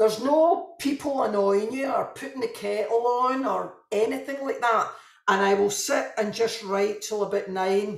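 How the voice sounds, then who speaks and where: In a Glaswegian accent, a woman speaks at a moderate pace with a fairly high pitch and lively intonation. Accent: Glaswegian Scottish. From Scotland, Glasgow. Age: 50s. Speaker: novelist. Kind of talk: interview.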